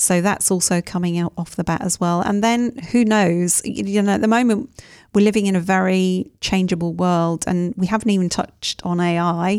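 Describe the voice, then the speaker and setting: With fairly even intonation, a woman talks in an unremarkable speaking voice. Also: medium pitch for a woman, moderate pace. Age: 50s. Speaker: team coach and author. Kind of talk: interview.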